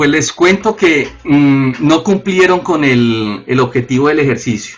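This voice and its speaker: A man with an ordinary speaking voice talks fairly slowly at a fairly high pitch, his intonation lively. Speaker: speaker giving an online talk. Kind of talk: lecture.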